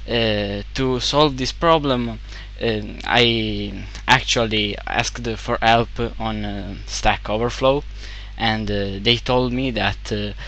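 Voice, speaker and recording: With an Italian accent, a man speaks at a very slow pace amid audible room echo and noticeable background noise. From Italy. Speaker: game developer. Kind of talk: tutorial. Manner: halting, many fillers.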